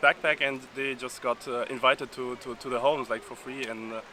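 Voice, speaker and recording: A man talks over noticeable background noise. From Uzbekistan. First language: Uzbek. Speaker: exchange student. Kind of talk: casual interview. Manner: halting, many fillers.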